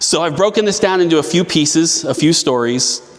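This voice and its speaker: With a Midwestern US accent, a man talks with ordinary pitch variation over noticeable background noise. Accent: US Midwest. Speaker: city council member. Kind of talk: storytelling talk. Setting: event venue stage with audience. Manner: loud. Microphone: no microphone.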